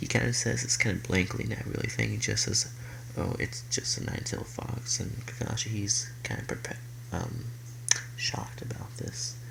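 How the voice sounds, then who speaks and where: A soft-spoken man talks at a moderate pace with long, frequent pauses, over noticeable background noise and audible room echo. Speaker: youtuber telling fan fiction story. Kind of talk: casual story narration. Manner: halting, many fillers. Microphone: quiet, needs volume up.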